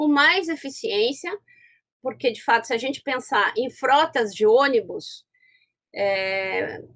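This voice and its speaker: In a Rio Grande do Sul accent, a woman speaks at a very slow pace. Her high pitch makes very wide swings. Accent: Rio Grande do Sul (gaúcho). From southern Brazil, Porto Alegre. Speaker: law professor. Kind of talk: lecture. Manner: halting, many fillers and restarts.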